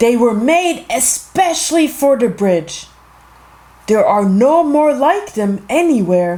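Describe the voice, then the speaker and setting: A man puts on a character voice with extremely high pitch and very wide pitch swings. He speaks at a fairly slow pace. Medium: read story. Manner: commanding.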